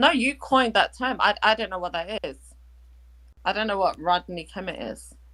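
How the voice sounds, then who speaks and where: A woman with a British accent speaks at a moderate pace in a medium pitch, her tone bright, sharp and animated. Her intonation is lively, her loudness swings widely, and the recording is very clean with a silent background. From Kenya. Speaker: caller. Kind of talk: heated debate.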